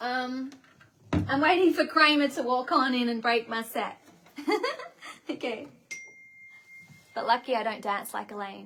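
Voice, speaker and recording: Speaking at a fairly slow pace with long, frequent pauses, a woman with a high pitch and an Australian accent uses ordinary pitch variation over noticeable background noise. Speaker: singer-songwriter hosting livestream. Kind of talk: casual livestream chat. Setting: bedroom set livestream.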